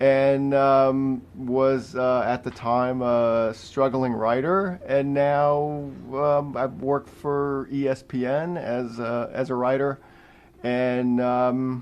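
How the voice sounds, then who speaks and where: The speaker is a man with fairly even intonation. He talks at a very slow pace. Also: medium pitch for a man. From Long Island, New York. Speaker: sports writer. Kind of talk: radio interview.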